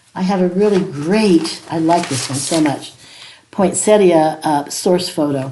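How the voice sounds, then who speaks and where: Amid noticeable background noise and audible room echo, a woman with a fairly low pitch and a warm tone speaks at a fairly slow pace. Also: ordinary pitch variation. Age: 80s+. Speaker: watercolor art teacher. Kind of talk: tutorial. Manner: casual, warm.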